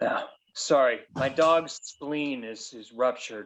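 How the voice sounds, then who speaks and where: This man puts on a character voice, pitched fairly high. He speaks at a fairly slow pace. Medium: game stream. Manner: rambling, sheepish.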